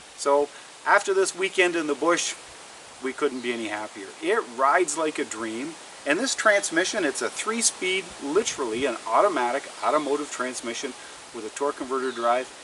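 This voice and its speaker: Noticeable background noise sits behind a man with a Canadian accent. His fairly high voice moves at a moderate pace with lively intonation. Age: 60s. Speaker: outdoor lifestyle vlogger. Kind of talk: casual product review vlog.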